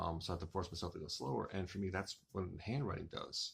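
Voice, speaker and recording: A man speaks at a fairly low pitch, somewhat breathy, in a very clean recording with a silent background. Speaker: author and writing vlogger. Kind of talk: casual monologue vlog. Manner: fast.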